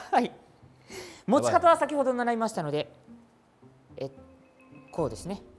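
Faint music plays behind a man speaking. He keeps a moderate pace while his pitch swings very widely. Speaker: voice actor. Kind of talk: casual variety show talk. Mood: light, slightly nervous. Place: gym.

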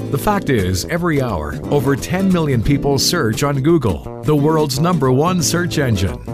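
A man speaks at a moderate pace with hardly any pauses, at a fairly high pitch with very wide pitch swings. His loudness stays very even, with music in the background. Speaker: voice actor. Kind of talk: corporate narration. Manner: sincere, commanding, professional.

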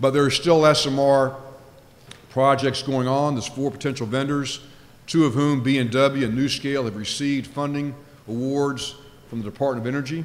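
Speaking at a moderate pace, a man uses a fairly high pitch and monotone, flat intonation. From Louisiana. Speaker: nuclear regulator, former naval officer; keynote speaker. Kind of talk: conference keynote speech. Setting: stage with audience. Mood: light humor early on. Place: hall. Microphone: podium.

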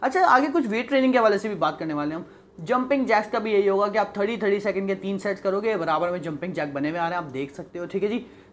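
A man talks at a fairly quick pace in a high voice. His pitch varies in an ordinary way over light background noise. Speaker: presenter. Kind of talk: tutorial. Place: home room.

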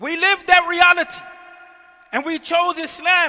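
A man's raised, projected voice with an American accent against a quiet background. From US, North Philadelphia. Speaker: imam. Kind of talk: sermon. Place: church. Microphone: headset.

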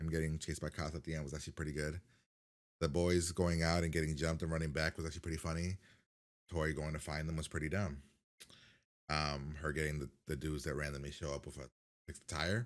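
In a quiet background, a man with a very deep, low pitch talks at a very fast pace with fairly even intonation. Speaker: reaction video host. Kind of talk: casual reaction commentary. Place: home room.

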